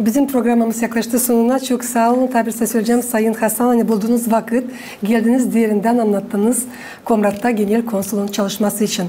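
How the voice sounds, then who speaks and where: A woman with a fairly high pitch speaks at a fairly quick pace in a flat monotone, her loudness very even over noticeable background noise. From Gagauzia, Moldova. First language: Gagauz (speaking Turkish). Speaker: TV host. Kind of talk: interview. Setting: TV studio. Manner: formal.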